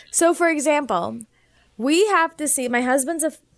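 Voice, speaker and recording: A woman's animated tone with an American accent and lively intonation, on a very clean recording with a silent background. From US Midwest, Naperville, Illinois. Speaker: physician and homeopath. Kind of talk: interview.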